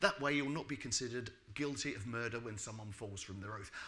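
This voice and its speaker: There is audible room echo and noticeable background noise. A man speaks with ordinary pitch variation. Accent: British. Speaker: building regulations expert. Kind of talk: lecture. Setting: stage with audience. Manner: fast.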